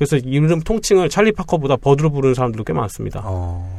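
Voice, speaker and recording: A man at a fairly high pitch, with very wide pitch swings and a dark, mellow tone. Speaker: podcast co-host. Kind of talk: casual chat. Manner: fast talker.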